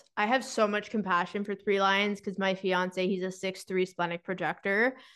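The woman has a plain, everyday voice with medium pitch and fairly even intonation. She speaks at a moderate pace against a quiet background. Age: 30s. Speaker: spiritual mindset coach. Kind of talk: casual chat.

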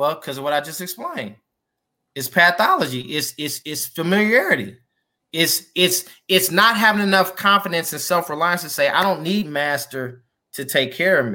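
An American accent at a moderate pace on a very clean recording with a silent background. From US Midwest, Kansas City. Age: 40s. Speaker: financial services entrepreneur. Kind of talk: interview.

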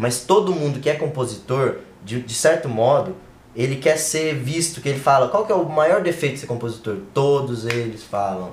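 A man with a fairly high pitch talks at a moderate pace, somewhat breathy, with lively intonation. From inland Brazil. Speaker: music podcast co-host. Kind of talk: casual chat. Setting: live stream.

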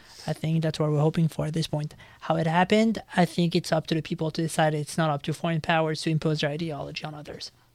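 On a very clean recording with a silent background, a man with a fairly high pitch races along at a very fast pace with hardly any pauses, in a monotone, flat intonation. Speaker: guest, student union worker.

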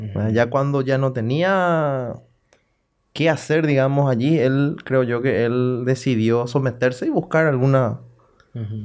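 Against a quiet background, a man uses an ordinary speaking voice at a medium pitch, with ordinary pitch variation and a fairly slow pace. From Paraguay, Salto del Guairá. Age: 30s. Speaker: local politician. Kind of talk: casual interview.

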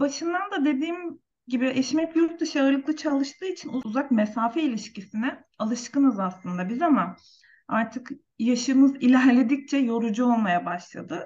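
A woman's high, lively voice at a moderate pace. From Turkey. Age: 30s. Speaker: nurse. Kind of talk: interview.

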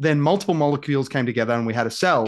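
A man speaks with an Australian accent at a fairly high pitch. The background is quiet. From Australia, rural Victoria. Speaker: cafe owner and former pastor. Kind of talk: casual podcast interview.

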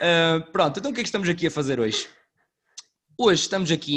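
A man speaks with a northern Portuguese accent and ordinary pitch variation. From northern Portugal. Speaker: podcast host. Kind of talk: casual chat.

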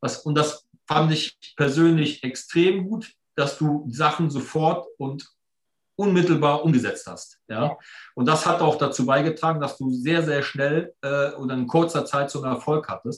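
Fairly high in pitch, a man talks at a fairly slow pace. His voice is somewhat breathy and his intonation fairly even. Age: 50s. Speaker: entrepreneur and financial mentor. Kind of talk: casual interview.

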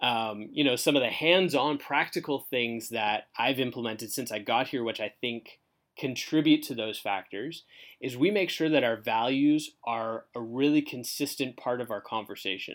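Recorded very cleanly against a silent background, a man of medium pitch talks in a normal speaking voice. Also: ordinary pitch variation, moderate pace. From Canada (southern Ontario). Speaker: church marketing director. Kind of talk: casual interview.

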